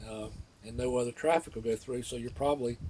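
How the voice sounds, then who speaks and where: A man with a Florida accent speaks at a fairly quick pace. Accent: Southern US (Florida). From northeast Florida. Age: 60s. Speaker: local resident telling a memory. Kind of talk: personal storytelling. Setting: outdoors by the water. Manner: casual, with many fillers.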